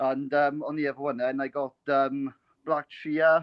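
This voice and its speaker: A man with a Welsh accent speaks at a fairly high pitch. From Wales. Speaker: caller. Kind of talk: casual chat. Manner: halting, many fillers.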